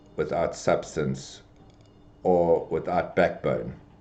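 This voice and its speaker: A man's very slow speech with audible room echo. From South Africa (Durban). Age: 60s. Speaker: business executive. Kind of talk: podcast interview. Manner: halting, many fillers and repetitions.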